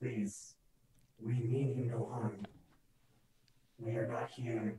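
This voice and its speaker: This is a soft-spoken, put-on character voice. It moves at a fairly slow pace. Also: man. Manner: soft, gentle, calming.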